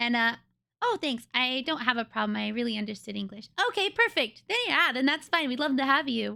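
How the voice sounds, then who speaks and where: This woman has an American accent and a high pitch, speaking at a fairly quick pace. Her raised, projected voice carries a bright, sharp tone. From US West Coast. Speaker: streamer. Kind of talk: casual chat answering live chat questions. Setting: live stream.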